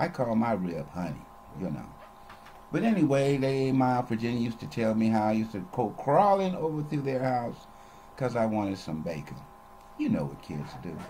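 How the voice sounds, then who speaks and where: At a moderate pace, a man speaks with very wide pitch swings over light background noise. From Los Angeles, California. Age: 70s. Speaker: retiree recording personal memoir videos; storyteller. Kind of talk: personal recorded monologue / memoir. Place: home room. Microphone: webcam.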